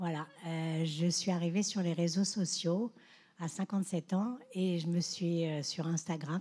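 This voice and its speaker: A woman's dark, mellow, somewhat breathy voice at a medium pitch. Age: 60s. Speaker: social media influencer. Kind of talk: panel discussion.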